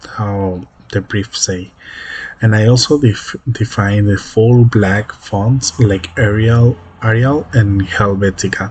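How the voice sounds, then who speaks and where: A man speaks very slowly with fairly low pitch and fairly even intonation. His voice is somewhat breathy. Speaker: web development student. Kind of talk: project presentation. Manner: halting, many repetitions and fillers.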